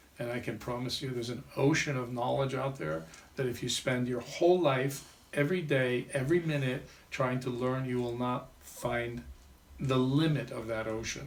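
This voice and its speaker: Over noticeable background noise and audible room echo, a man of medium pitch talks at a moderate pace with ordinary pitch variation. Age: 60s. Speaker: vedic astrologer and life coach. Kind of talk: interview.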